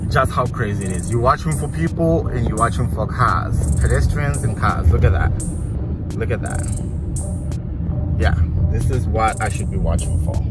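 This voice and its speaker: Music plays in the background while a man talks at a moderate pace with long, frequent pauses, the sound dry with no echo. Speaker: driver vlogger. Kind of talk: casual vlog chat. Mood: stressed, amazed. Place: car. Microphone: phone near.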